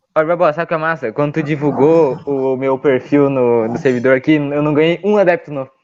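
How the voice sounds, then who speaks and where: A man's fairly high-pitched voice at a fairly quick pace with hardly any pauses. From Rio Grande do Sul, Porto Alegre. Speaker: podcast guest, meme page creator. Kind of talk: casual chat. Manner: animated.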